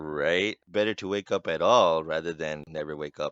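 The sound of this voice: A man's very deep, low, resonant voice moves at a moderate pace with ordinary pitch variation.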